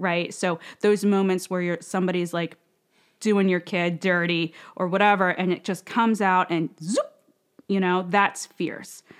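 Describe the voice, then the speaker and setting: A woman with a plain, everyday voice speaks at a moderate pace in a medium pitch, her intonation fairly even, on a very clean recording with a silent background. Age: 30s. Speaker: women's community founder. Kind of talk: casual interview.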